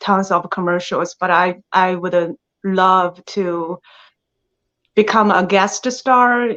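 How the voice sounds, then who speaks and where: In a strong Chinese accent, a woman speaks at a very slow pace. Her medium pitch holds fairly even intonation. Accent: thick Chinese. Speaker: actress. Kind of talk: interview. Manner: halting.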